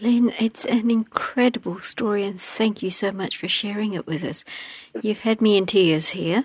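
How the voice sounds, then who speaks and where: The sound is dry and close with no echo as a woman speaks at a moderate pace. Her medium-pitched voice is somewhat breathy, with ordinary pitch variation. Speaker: interviewer. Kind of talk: reading background notes, interviewing.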